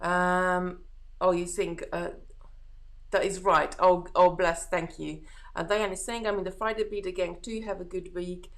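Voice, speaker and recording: Against audible room echo, a woman with a Hungarian accent speaks fairly slowly at a medium pitch in a monotone, flat intonation. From Hungary. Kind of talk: casual live-stream chat. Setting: live stream. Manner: relaxed, chatty.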